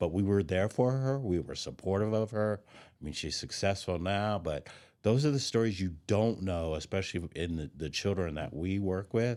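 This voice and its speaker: A plain, everyday voice with an American accent moves at a moderate pace with lively intonation and hardly any pauses, in a very clean recording with a silent background. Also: man, fairly low pitch for a man. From Denver, Colorado. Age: 60s. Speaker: youth outdoor educator. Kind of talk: casual chat.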